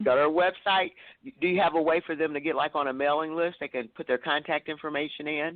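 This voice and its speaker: Speaking at a very fast pace, a woman with a slight Southern US accent uses a very deep, low pitch and fairly even intonation. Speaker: talk show host interviewing authors. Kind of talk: casual interview chat. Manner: frequent fillers and repetitions.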